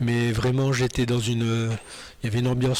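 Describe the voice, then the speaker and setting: The speaker is a man with a medium pitch. Background noise is noticeable. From northern France (Nord). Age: 60s. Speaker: churchgoer giving testimony. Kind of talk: testimony. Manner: halting, many hesitations.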